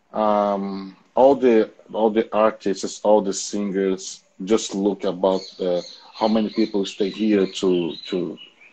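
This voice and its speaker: A man with a dark, mellow tone and fairly low pitch speaks at a very slow pace. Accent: Portuguese. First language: Portuguese. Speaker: educational channel host, interviewer. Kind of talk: video interview. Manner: halting, many fillers and repetitions.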